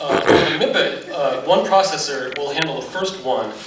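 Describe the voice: A man at a fairly high pitch and moderate pace, fairly bright in tone, with ordinary pitch variation and audible room echo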